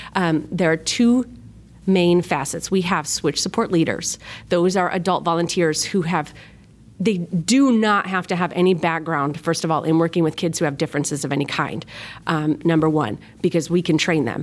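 This woman has an upstate New York accent and a fairly low pitch. She talks at a moderate pace. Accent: flat upstate New York. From upstate New York, Rochester. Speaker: children's ministry volunteer leader. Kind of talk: podcast interview. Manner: energetic.

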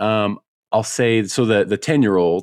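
A man's plain, everyday voice, fairly low in pitch with ordinary pitch variation, with an American accent, on a very clean recording with a silent background and a dry, close sound with no echo. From US Midwest (Chicago). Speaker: hunting podcaster and bird dog trainer. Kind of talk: casual interview.

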